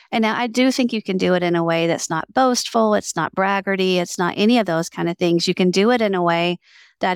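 A woman's medium-pitched voice in a Southern US accent, fairly quick and with ordinary pitch variation, dry and close with no echo, in a very clean recording with a silent background. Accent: Southern American. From US South. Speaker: entrepreneur and author. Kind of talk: interview conversation.

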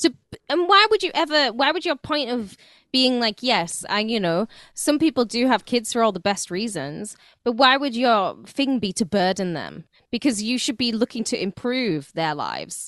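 The sound is dry and close with no echo, over a quiet background. A woman with a fairly high pitch speaks at a moderate pace with very wide pitch swings. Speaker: radio host. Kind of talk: casual chat.

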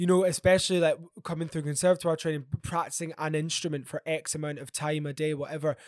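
A man's fairly high voice with a Glaswegian accent at a very fast pace, dry and close with no echo, on a very clean recording with a silent background. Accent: Glaswegian Scottish. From Scotland, Glasgow. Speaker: jazz musician. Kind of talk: interview.

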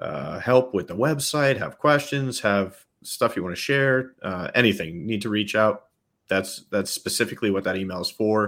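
In a very clean recording with a silent background, a man with a fairly low voice talks at a moderate pace with lively intonation. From New York State. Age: 30s. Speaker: Bigfoot researcher and app project leader. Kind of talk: casual interview chat.

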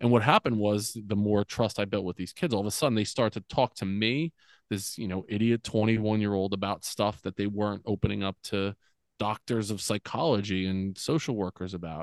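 A man with an American accent talks at a fairly quick pace with ordinary pitch variation. The sound is dry and close with no echo, over a quiet background. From US, central New Jersey. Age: 40s. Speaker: former school principal, men's coach. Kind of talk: casual interview. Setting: podcast interview.

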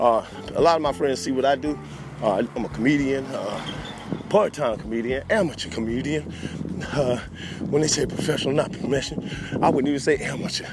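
A man talks at a fairly quick pace in a fairly high voice, with noticeable background noise. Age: 30s. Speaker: podcast host and DJ. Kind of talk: casual monologue. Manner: animated.

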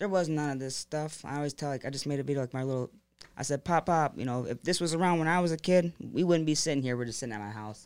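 A man's unremarkable speaking voice with an American accent, fairly high in pitch with ordinary pitch variation, on a very clean recording with a silent background. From US Midwest, Monroe, Michigan. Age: 20s. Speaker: marketing salesman and local promoter. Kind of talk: casual chat. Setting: studio.

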